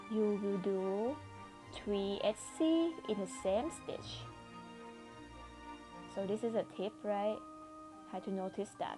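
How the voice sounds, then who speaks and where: Quietly and at a very slow pace, a woman with a medium pitch speaks with lively intonation and long, frequent pauses while music plays in the background. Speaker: crochet instructor. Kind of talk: crochet tutorial narration. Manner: quiet, low volume.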